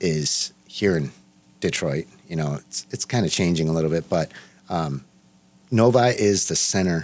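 A man with a very deep, low voice and a General American accent speaks at a moderate pace with lively intonation. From Los Angeles, US. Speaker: restaurant owner. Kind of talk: interview.

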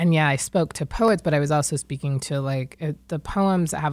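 With an American accent and a very deep, low pitch, a woman speaks at a fairly quick pace in a very clean recording with a silent background. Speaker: poet. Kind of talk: radio interview.

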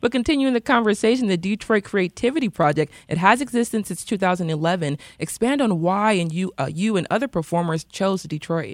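An unremarkable speaking voice moves at a moderate pace with hardly any pauses and lively intonation, in a dry, close sound with no echo and a very clean recording with a silent background. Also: woman, medium pitch for a woman. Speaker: radio host. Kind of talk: radio interview and hosting. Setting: studio.

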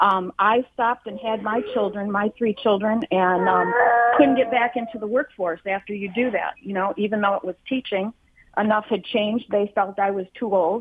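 This woman has a medium pitch and fairly even intonation. Her pace is moderate. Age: 60s. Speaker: caller, retired preschool teacher. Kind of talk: call-in testimony. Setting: phone call. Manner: halting.

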